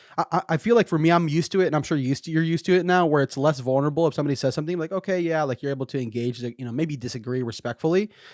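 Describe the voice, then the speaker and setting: This man's voice sits fairly high in pitch, with ordinary pitch variation. The recording is very clean and dry, close and echo-free, over a silent background. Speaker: podcast host. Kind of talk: casual interview. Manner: fast.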